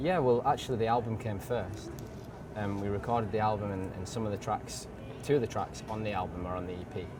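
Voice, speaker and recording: A man with a slight northern English accent and a fairly low pitch, at a very fast pace with ordinary pitch variation, amid audible room echo and noticeable background noise. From northern England, Bradford. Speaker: singer-songwriter. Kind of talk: interview. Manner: halting.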